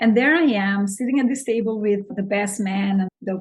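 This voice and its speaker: Somewhat breathy, a woman talks at a moderate pace with a non-native accent, fairly high pitch and ordinary pitch variation. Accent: noticeable foreign. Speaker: real estate investor and business consultant. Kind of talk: podcast interview. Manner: animated.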